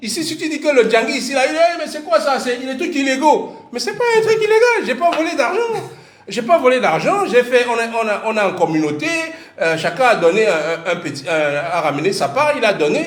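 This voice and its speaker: A man with a Cameroonian accent, extremely high in pitch, with an animated tone, very wide pitch swings and a fairly quick pace, plus audible room echo and noticeable background noise. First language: Bassa (speaking French). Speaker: parent and commentator. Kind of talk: casual monologue. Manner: halting.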